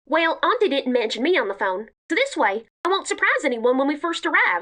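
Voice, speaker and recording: A cartoonish character voice rushes along at a fairly quick pace, high in pitch and full of very wide pitch swings. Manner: joking, playful.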